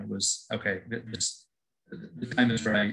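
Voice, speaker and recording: Music in the background behind a man of fairly low pitch at a moderate pace. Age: 60s. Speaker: former franchise owner. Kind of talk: webinar Q&A. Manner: halting.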